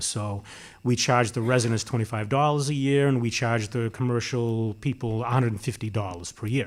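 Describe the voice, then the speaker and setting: In a very clean recording with a silent background, a man with an American accent speaks with fairly even intonation. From Massachusetts, Watertown. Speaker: municipal public works official, panelist. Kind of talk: panel discussion. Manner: halting, many fillers and restarts.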